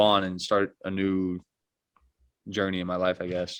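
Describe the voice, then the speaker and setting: A man with an unremarkable speaking voice, fairly low in pitch, at a moderate pace. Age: 20s. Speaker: college basketball player. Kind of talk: casual interview. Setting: call.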